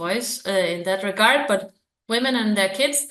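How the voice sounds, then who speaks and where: There is audible room echo around this woman's voice. She sits at a medium pitch with ordinary pitch variation. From Denmark. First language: Danish. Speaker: researcher. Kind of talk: interview. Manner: hesitant, many fillers.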